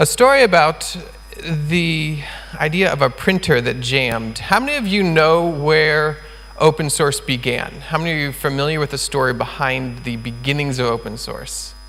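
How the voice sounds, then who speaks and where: Amid audible room echo and noticeable background noise, a man talks at a moderate pace. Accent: American. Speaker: conference speaker, open source community founder. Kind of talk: conference talk. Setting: stage with audience. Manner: enthusiastic.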